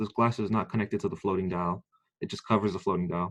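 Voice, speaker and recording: A man talks very fast with fairly even intonation. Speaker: military training instructor. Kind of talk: lecture.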